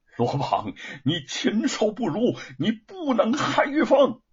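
A man's put-on character voice, high-pitched with a husky, rough edge, very wide pitch swings and a slow pace

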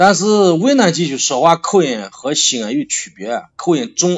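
Speaking at a fairly slow pace, a man has a slight Shaanxi accent. His pitch swings very widely. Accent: slight Shaanxi (Xianyang). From Xianyang, Shaanxi, China. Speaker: barbecue restaurant owner. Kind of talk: casual chat.

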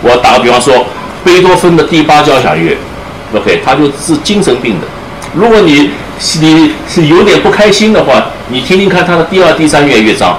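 Male voice, fairly high-pitched, with lively intonation, very even loudness and a moderate pace, amid audible room echo and noticeable background noise. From Shanghai, China. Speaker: double bassist and music professor. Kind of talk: public talk with audience Q&A. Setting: room with live audience. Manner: hesitant, many fillers and code-switching to English. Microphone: speaking without a microphone.

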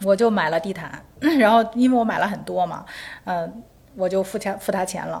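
A woman speaks at a fairly quick pace in a fairly low pitch. Vocal fry runs through her voice. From Beijing. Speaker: architect and interior designer. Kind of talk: casual interview chat. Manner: halting, repeats words.

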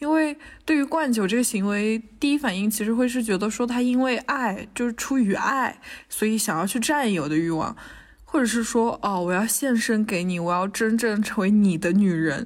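A woman's fairly high voice, fairly quick pace, lively intonation and very even loudness. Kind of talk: casual chat. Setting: university building lobby during lockdown.

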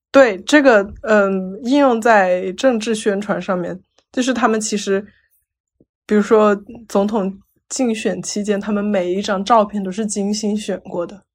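A woman's medium-pitched voice at a fairly slow pace, with fairly even intonation and long, frequent pauses, in a very clean recording with a silent background. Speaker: psychology researcher. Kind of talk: casual chat.

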